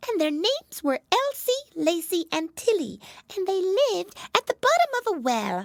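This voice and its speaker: This put-on character voice is squeaky and extremely high, with very wide pitch swings at a moderate pace. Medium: read story.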